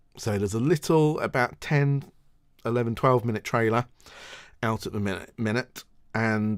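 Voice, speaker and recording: On a very clean recording with a silent background, the delivery keeps a moderate pace and ordinary pitch variation. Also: man. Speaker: ukulele channel host. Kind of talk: livestream show chat. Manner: hesitant with fillers.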